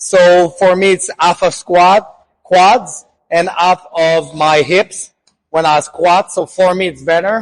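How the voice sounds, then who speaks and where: This man talks at a very slow pace with a Quebec accent. His voice is high-pitched for a man. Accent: French Canadian accent in English. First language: French. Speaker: fitness coach and naturopath. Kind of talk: tutorial.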